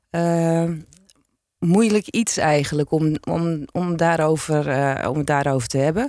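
A woman talks at a very slow pace in a very deep, low pitch. Her tone is dark and mellow, her loudness very even. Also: ordinary pitch variation. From Zaanstreek, Netherlands. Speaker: former police officer and author. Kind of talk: interview.

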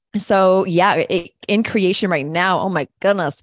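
In a dry, close recording with no echo and a quiet background, a woman speaks in a normal speaking voice at a fairly low pitch with ordinary pitch variation. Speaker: coach and podcast host. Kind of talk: casual conversation.

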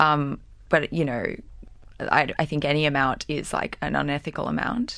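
A woman's very deep, low-pitched voice, bright and sharp in tone, at a moderate pace with ordinary pitch variation. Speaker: student protester. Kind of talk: casual interview. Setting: studio.

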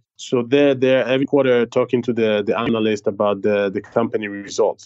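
With an Israeli accent, a man speaks at a moderate pace. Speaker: startup CEO. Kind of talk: interview.

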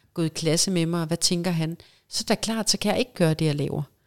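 On a very clean recording with a silent background, a woman with an ordinary speaking voice speaks in a fairly low pitch with fairly even intonation, the sound dry and close with no echo. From Denmark, Vejle area. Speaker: professional mermaid and actress. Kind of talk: casual interview.

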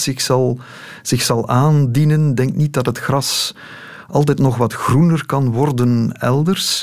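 Here a man talks at a very slow pace. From Belgium, Lokeren (East Flanders). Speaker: political journalist. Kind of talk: casual interview. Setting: radio studio.

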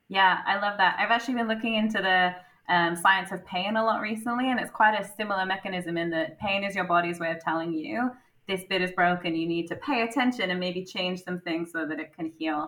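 A woman's ordinary speaking voice at medium pitch, with ordinary pitch variation and a fairly quick pace. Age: 30s. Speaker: corporate strategy director, interviewer. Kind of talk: interview.

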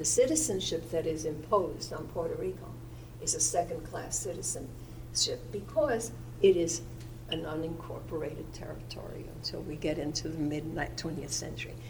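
At a moderate pace, a woman talks while noticeable background noise is heard. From New York. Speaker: history professor. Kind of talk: academic panel talk.

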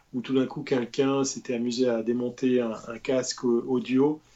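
A man with a normal speaking voice talks at a fairly slow pace, his pitch sitting in the medium range. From Switzerland. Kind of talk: casual chat.

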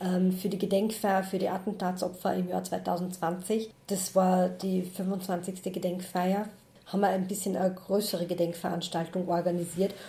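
With noticeable background noise behind her, a woman speaks at a medium pitch with monotone, flat intonation. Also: moderate pace. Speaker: head of a church Roma ministry. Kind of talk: interview.

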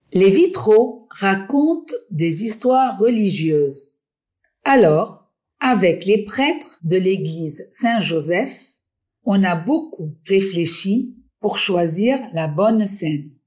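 A woman's somewhat breathy, dark, mellow voice at medium pitch, very slow, with very wide pitch swings. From Lebanon, Beirut. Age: 60s. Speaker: stained glass artisan. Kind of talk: storytelling.

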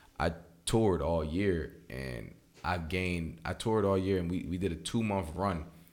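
A man with a very deep, low pitch, in audible room echo. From Philadelphia. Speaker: rapper. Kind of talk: casual interview chat.

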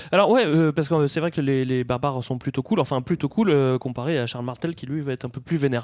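A fairly high-pitched man at a very fast pace, hardly any pauses, and ordinary pitch variation. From Paris region (Val-d'Oise). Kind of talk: casual chat.

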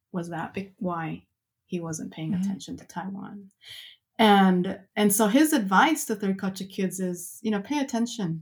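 A woman at medium pitch, somewhat breathy, at a moderate pace, on a very clean recording with a silent background. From mixed heritage, moved around as a child. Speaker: researcher and author. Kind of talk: interview.

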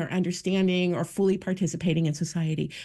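The background is quiet. A woman speaks at medium pitch with a dark, mellow tone. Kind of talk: interview. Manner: loud.

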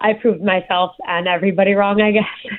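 This is a woman's voice. She speaks with a New Jersey accent. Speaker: guest, concealed carry permit holder. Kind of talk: interview. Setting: remote call.

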